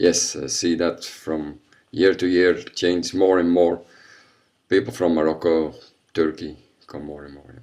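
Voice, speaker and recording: A man with a very deep, low pitch talks at a fairly slow pace. His loudness swings widely, and long, frequent pauses break up his speech. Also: fairly even intonation. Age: 50s. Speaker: karate instructor. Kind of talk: interview.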